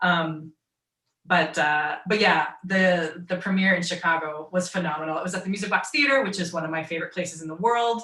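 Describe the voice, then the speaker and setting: At a fairly quick pace, a woman speaks in a bright, sharp tone with a fairly low pitch and ordinary pitch variation. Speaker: voice actor. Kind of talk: casual chat. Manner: halting.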